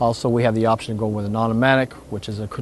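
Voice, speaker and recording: With an American accent, a man speaks at a very fast pace. His intonation stays fairly even over noticeable background noise. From United States. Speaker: motorhome sales expert. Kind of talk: product demonstration interview.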